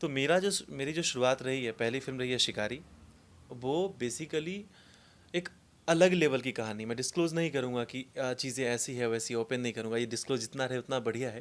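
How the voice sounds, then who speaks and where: The speaker uses ordinary pitch variation at a moderate pace. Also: man, medium pitch for a man. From Mithila region, Bihar, India. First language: Maithili (speaking Hindi). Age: young. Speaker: film actor. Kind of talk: interview.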